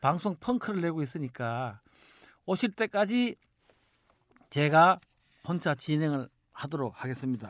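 Against a quiet background, a man at a fairly high pitch speaks at a moderate pace. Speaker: podcast host. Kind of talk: podcast discussion.

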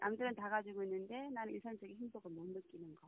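A woman talking at a fairly quick pace with lively intonation. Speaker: bereaved mother. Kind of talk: phone interview. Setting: phone call.

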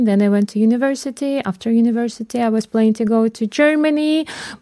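A dark, mellow voice with a Russian accent moves at a fairly quick pace on a very clean recording with a silent background. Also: woman. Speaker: radio show guest. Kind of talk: casual interview chat.

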